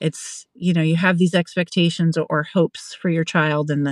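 A normal speaking voice: a woman with an American accent, fairly low pitch, moderate pace, and a dry, close sound with no echo. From Pennsylvania. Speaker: family support worker. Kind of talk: interview.

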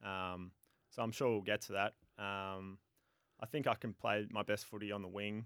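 A man with an Australian accent, fairly low in pitch, flat and monotone, at a moderate pace with long, frequent pauses, in a dry, close sound with no echo. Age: 20s. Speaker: professional footballer. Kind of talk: radio interview. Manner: hesitant, many fillers.

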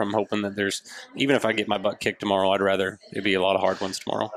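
The speech moves at a very fast pace against noticeable background noise. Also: man. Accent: American. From Oklahoma. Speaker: competitive rifle shooter. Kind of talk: casual interview.

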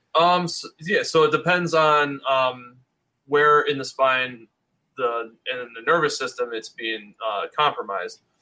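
A man with an American accent speaks with a fairly high pitch and a bright, sharp tone. His loudness swings widely while his pitch varies in an ordinary way. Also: fairly slow pace. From US Northeast, Rochester area of New York. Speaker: chiropractor. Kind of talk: casual chat. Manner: halting, many fillers.

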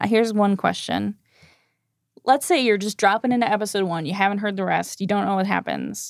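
A woman with an unremarkable speaking voice at medium pitch and a fairly quick pace, fairly even intonation, very clean recording with a silent background, dry and close with no echo. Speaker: podcast host. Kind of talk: casual chat.

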